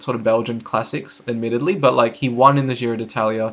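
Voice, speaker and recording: Here a man talks with an Australian accent at a fairly quick pace. His medium-pitched voice has ordinary pitch variation. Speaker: cycling YouTuber. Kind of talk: casual commentary video. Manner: casual, hesitant with fillers.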